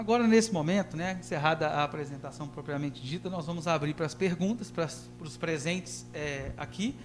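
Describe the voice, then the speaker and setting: A man talks at a fairly quick pace with hardly any pauses. His voice carries audible room echo. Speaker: professor. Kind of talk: public hearing presentation. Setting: council chamber, livestreamed. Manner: halting, frequent fillers.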